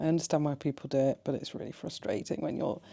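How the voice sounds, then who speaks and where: Quiet and at a very fast pace, a woman speaks in a very deep, low pitch with a dark, mellow tone and monotone, flat intonation. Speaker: travel vlogger. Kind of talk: vlog talking to camera. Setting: hotel room. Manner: speaking quietly.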